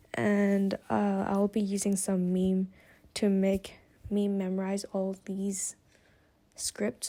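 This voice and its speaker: Someone with a non-native accent and a dark, mellow tone speaks at a very slow pace on a very clean recording with a silent background. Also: woman, long, frequent pauses. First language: not English. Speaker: student. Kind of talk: casual vlog. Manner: halting.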